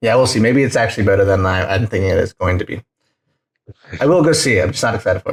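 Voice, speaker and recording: A somewhat breathy man at a very fast pace, with long, frequent pauses and a dry, close sound with no echo. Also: medium pitch for a man, ordinary pitch variation. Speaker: podcast host. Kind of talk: casual chat. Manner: animated; quieter.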